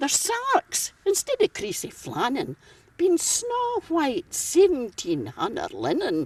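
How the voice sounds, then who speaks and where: A woman speaks at a very slow pace with a Scottish accent. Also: dry, close sound with no echo. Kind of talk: poetry reading. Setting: outdoors.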